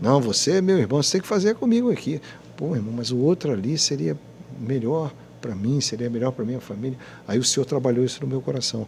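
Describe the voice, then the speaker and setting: Somewhat breathy, a man speaks with lively intonation and long, frequent pauses. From Rio de Janeiro state, Brazil (Petrópolis). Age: 60s. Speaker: radio announcer. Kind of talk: podcast interview, religious testimony. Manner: halting, repetitive.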